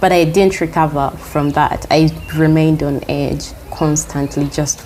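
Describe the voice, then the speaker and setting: Over noticeable background noise, a soft-spoken woman talks at a fairly slow pace. Her very deep, low pitch stays monotone and flat. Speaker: healer and teacher. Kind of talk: interview answer.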